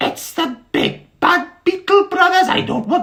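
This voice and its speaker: The speaker uses a put-on character voice with an extremely high pitch, going at a fairly slow pace. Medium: read story. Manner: homely, chatty.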